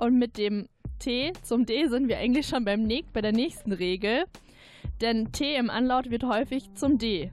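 A woman speaks at a fairly slow pace in a fairly high voice with ordinary pitch variation. Music plays behind her. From Pfalz, Zweibrücken. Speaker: radio editor. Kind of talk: casual chat.

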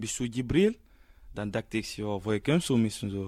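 This is a man talking. His voice has a fairly low pitch. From Guinea. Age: young. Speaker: refugee youth. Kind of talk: radio interview.

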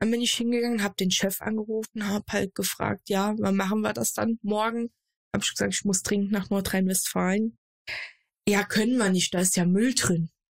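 A woman at a medium pitch speaks at a moderate pace in a somewhat breathy, monotone voice with flat intonation and very even loudness, the sound dry and close with no echo. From Germany, Saarland. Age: 20s. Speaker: streamer and content creator. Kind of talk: casual chat.

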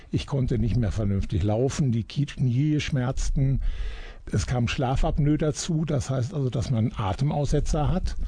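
This man has a dark, mellow tone at a medium pitch, with ordinary pitch variation, a fairly slow pace, a somewhat breathy quality and very even loudness. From Germany, Iserlohn (Sauerland). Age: 60s. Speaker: retired journalist. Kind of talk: radio interview. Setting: radio studio.

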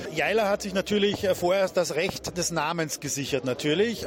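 There is noticeable background noise behind a man's voice. He talks at a moderate pace with a high pitch. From Austria. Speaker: venue managing director. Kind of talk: radio interview.

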